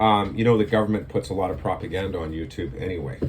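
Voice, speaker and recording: The man speaks at a fairly quick pace with ordinary pitch variation. Room echo is audible. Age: 60s. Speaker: video blogger. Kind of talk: casual monologue to camera. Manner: halting, many fillers.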